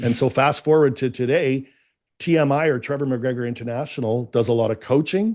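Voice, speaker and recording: A man with a Canadian accent talks at a fairly quick pace, his pitch medium. His pitch variation is ordinary, and the background is quiet. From Canada. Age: 50s. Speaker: business coach. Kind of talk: interview.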